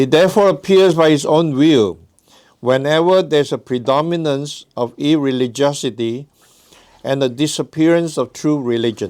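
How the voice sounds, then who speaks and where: A man with a non-native accent speaks at a moderate pace in a fairly high pitch, with ordinary pitch variation. The recording is very clean, with a silent background. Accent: noticeable foreign. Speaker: guest religious lecturer. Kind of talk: reading aloud.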